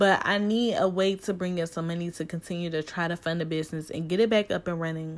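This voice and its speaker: A woman with an American accent, fairly low in pitch, her intonation monotone and flat. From US Midwest, Cleveland, Ohio. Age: 20s. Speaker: podcast host, small business owner. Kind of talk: casual solo monologue.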